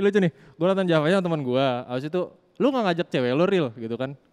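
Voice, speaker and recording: Speech at a very fast pace, with lively intonation. The tone is animated. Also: man. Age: young. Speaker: radio podcast host. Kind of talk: casual chat.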